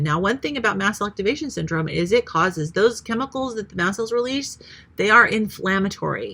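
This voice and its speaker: Bright, sharp tone and vocal fry mark this woman's voice as she speaks at a fairly quick pace with lively intonation. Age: 50s. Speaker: retired nurse, health vlogger. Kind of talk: casual vlog monologue. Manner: hesitant, many fillers.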